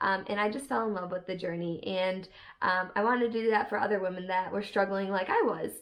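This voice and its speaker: A woman speaks in a plain, everyday voice at a medium pitch. Her intonation stays fairly even. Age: 20s. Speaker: online fitness coach and vlogger. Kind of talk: casual vlog chat. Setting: home office.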